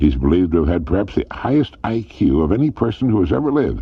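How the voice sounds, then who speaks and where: Speaking at a moderate pace, a man with very deep, low pitch and vocal fry moves through very wide pitch swings. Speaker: motivational radio speaker. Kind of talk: motivational speech, addressing listener directly.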